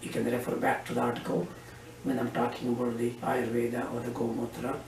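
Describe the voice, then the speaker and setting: A man speaks with audible room echo and noticeable background noise in the recording. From India, Karnataka. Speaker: physician. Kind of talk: interview. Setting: doctor's office.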